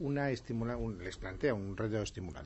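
This man has an unremarkable speaking voice. He talks at a fairly quick pace with lively intonation. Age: 50s. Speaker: radio host. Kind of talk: late-night radio film chat. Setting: radio studio.

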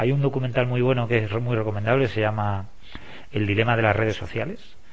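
His voice is somewhat breathy. The man talks at a fairly quick pace, his pitch varying in an ordinary way. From Spain, La Mancha (Valdepeñas). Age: 50s. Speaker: sports coach. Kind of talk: interview.

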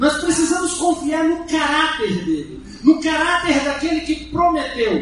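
Noticeable noise fills the background while the words come at a fairly slow pace. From Brazil, Federal District (Taguatinga area). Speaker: pastor. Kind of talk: sermon.

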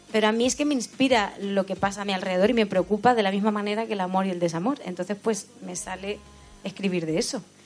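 Music plays in the background while a woman talks very fast in a medium-pitched voice with ordinary pitch variation. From Spain, Albacete, Sierra del Segura village. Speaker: singer. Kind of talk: casual chat. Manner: halting.

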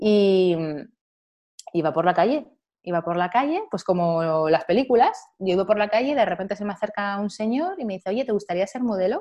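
This is an ordinary speaking voice. It has lively intonation and a fairly quick pace. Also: woman, medium pitch for a woman. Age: 40s. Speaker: model and journalist. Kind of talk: interview conversation.

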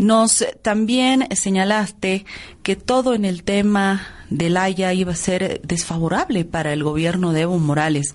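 In an ordinary speaking voice, a woman with medium pitch talks at a fairly slow pace, showing ordinary pitch variation and very even loudness. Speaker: radio host. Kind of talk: radio interview. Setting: radio studio.

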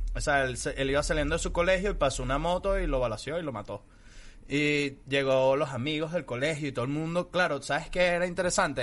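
This man speaks at a fairly quick pace in a plain, everyday voice. His pitch sits fairly high. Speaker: comedian. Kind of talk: casual chat.

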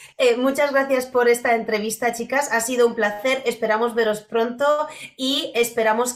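Moderately paced, fairly high speech from a woman amid noticeable background noise. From Poland. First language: Polish (speaking Spanish). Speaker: podcast host, dog behaviour. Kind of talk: interview.

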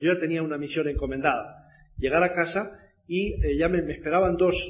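With fairly even intonation, a man speaks at a high pitch and a moderate pace. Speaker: network marketing speaker. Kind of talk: motivational talk.

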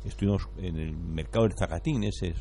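A man speaks at a fairly quick pace with very wide pitch swings. Music plays in the background, and audible room echo is present. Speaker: radio co-host. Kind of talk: live radio ad reading; casual chat.

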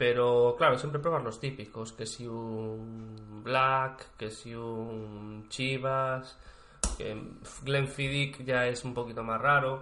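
Delivered at a very slow pace in a monotone, flat intonation, the speech carries audible room echo. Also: man, medium pitch for a man. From Spain, Galicia (Vigo). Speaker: podcast co-host. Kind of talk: casual chat. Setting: co-host's home.

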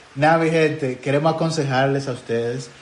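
A man with a Dominican accent talks at a moderate pace with fairly even intonation. Noticeable background noise and audible room echo surround his voice. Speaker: podcast host. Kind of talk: casual chat.

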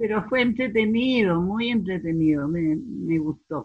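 Somewhat breathy and fairly slow, a woman speaks with very wide pitch swings. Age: 80s+. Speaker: amateur actress. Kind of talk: interview. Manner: halting.

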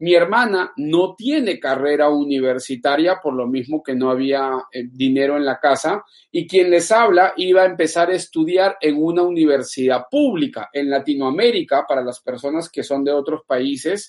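The voice is a normal speaking voice with ordinary pitch variation. It moves at a moderate pace with hardly any pauses. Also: man, fairly high pitch for a man. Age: 30s. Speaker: financial coach. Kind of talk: livestream talk. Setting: livestream.

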